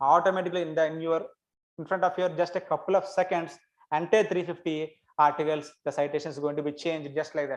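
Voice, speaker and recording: In an Indian accent, the speaker talks at a very fast pace with fairly even intonation. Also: man. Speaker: academic researcher. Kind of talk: lecture.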